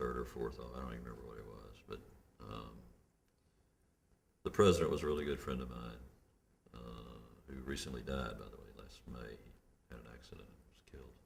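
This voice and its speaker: A man's very deep, low voice with vocal fry in a Memphis accent, at a fairly quick pace with long, frequent pauses, fairly even intonation and big swings in loudness. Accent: Southern US (Memphis). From Memphis, Tennessee. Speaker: criminal justice reform activist. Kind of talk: oral history interview answer.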